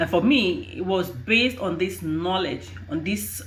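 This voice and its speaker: A woman talks at a fairly slow pace in a fairly low pitch with vocal fry. Her pitch swings very widely, and audible room echo surrounds her. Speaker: HR and recruitment professional. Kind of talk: advice vlog. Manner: halting.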